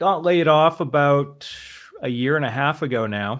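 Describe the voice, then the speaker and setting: In an American accent, a normal speaking voice moves at a fairly slow pace with ordinary pitch variation. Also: man. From Boston, US. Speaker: trading simulator developer and stream host. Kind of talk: casual chat.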